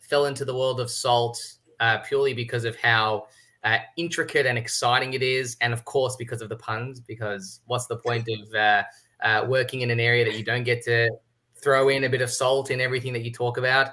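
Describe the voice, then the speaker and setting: A bright, sharp voice delivers its words in a monotone, flat intonation with an Australian accent. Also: man. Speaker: tax consultant. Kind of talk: webinar panel discussion. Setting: livestream.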